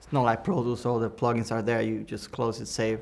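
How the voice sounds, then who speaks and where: With a Cuban accent, a man speaks at a medium pitch. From Cuba, Havana. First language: Spanish. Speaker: audio engineer. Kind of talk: Q&A talk with students. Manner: halting, many restarts and fillers.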